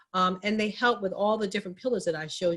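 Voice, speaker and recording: Somewhat breathy, a woman speaks very fast with ordinary pitch variation. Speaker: minority business advocate, guest speaker. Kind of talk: town hall presentation.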